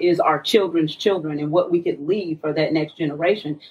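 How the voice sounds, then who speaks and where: Here a woman talks at a fairly quick pace with an American accent. She has an unremarkable speaking voice with fairly low pitch. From Tulsa, Oklahoma. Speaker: community radio co-host. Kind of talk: casual chat. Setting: studio.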